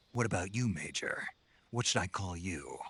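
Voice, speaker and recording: A man puts on a character voice at a fairly low pitch. He keeps a moderate pace with ordinary pitch variation. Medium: video game. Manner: terse, dry.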